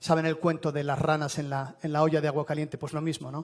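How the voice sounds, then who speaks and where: Fairly high-pitched male voice at a fairly quick pace. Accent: Spanish. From Spain. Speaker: telecom executive. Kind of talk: conference presentation. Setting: stage with audience.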